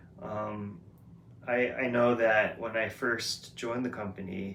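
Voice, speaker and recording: The man's pitch is fairly low, with monotone, flat intonation. Noticeable background noise and audible room echo surround him. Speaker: vlogger. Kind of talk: casual monologue vlog. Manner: loud; hesitant, many fillers.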